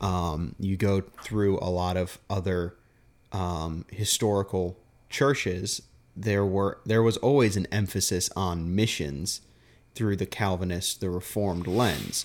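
Very deep and low, a man's voice comes through at a fairly slow pace. His intonation stays fairly even. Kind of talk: casual theological chat. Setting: home recording, handheld mic. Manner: soft-spoken.

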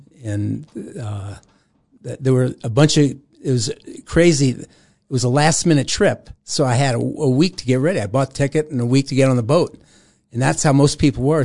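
A man's fairly high voice with a dark, mellow tone and an American accent, ordinary pitch variation, a moderate pace and a quiet background. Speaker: former Jesus movement figure. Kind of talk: testimony. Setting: studio.

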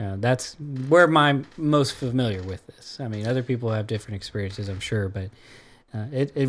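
Here a man has an unremarkable speaking voice, medium in pitch with ordinary pitch variation, at a moderate pace. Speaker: radio host. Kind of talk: casual interview discussion.

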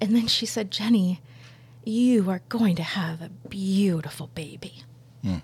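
A woman speaks at a fairly slow pace in a medium-pitched, somewhat breathy voice, her loudness swinging widely. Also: ordinary pitch variation. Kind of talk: testimony. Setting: studio.

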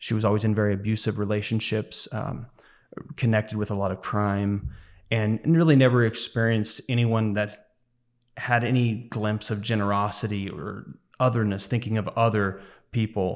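A man speaks at a moderate pace in a fairly low pitch with fairly even intonation. He has a plain, everyday voice, and the recording is very clean with a silent background. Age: 30s. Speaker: church deacon. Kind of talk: interview testimony. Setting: studio.

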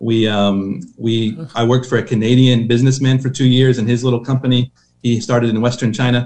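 In an American accent, a man speaks at a fairly quick pace with a medium pitch and a monotone, flat delivery. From Oklahoma. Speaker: missionary. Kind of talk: interview.

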